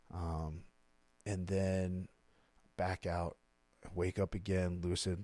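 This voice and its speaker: A man speaks at a very slow pace with very deep, low pitch and a dark, mellow tone. His intonation is monotone and flat, with long, frequent pauses, and the sound is dry and close with no echo. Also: very clean recording, silent background. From Maryland, US. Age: 30s. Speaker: recovering addict. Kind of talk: interview. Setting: studio. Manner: casual.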